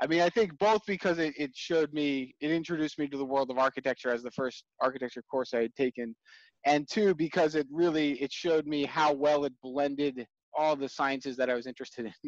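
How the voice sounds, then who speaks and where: Against a quiet background, a man with an American accent speaks fairly quickly at a fairly high pitch with ordinary pitch variation, the sound dry with no echo. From New York area, US. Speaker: software developer and building scientist; interviewee. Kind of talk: interview. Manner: halting, with frequent repetitions. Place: home room. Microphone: headset.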